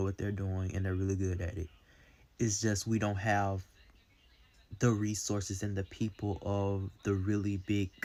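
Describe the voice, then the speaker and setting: On a very clean recording with a silent background, a man with an American accent talks at a moderate pace in a fairly low, monotone, flat voice. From US South, Mississippi. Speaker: content creator in media and entertainment. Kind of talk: casual vlog commentary. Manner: conversational with fillers.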